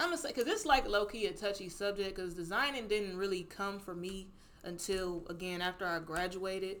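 Speaking at a fairly quick pace in an American accent, a woman uses a medium pitch with ordinary variation. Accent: slight Southern-tinged Midwestern US. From Cleveland, Ohio. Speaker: fashion designer. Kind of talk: casual interview chat.

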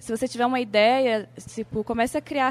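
A woman with an ordinary speaking voice keeps a moderate pace, her pitch varying in an ordinary way. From Brazil, Amapá. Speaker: film director and illustrator. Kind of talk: interview.

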